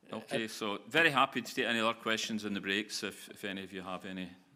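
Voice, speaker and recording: A man with a Glasgow accent at a very fast pace, fairly low in pitch, bright and sharp in tone, with big swings in loudness. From Scotland, Glasgow. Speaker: business founder and managing director. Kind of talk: conference Q&A. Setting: stage with audience.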